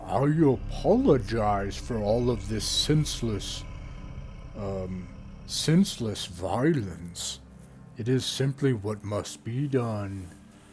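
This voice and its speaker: A put-on character voice with a menacing tone speaks at a very slow pace over clear background noise. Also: man, medium pitch for a man. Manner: apologetic yet menacing.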